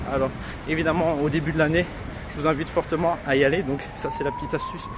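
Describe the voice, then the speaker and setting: A man talks in a flat, monotone way at a fairly high pitch. His pace is very fast. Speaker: real estate investor and website founder. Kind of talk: walking vlog tutorial. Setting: outdoors, walking in the street.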